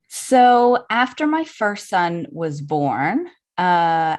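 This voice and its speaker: A woman speaks with a slight Southern US accent at a fairly low pitch, her voice swinging very widely up and down against a quiet background. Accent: slight Southern drawl. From US South, New Orleans, Louisiana. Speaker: birth photographer. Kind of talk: podcast interview.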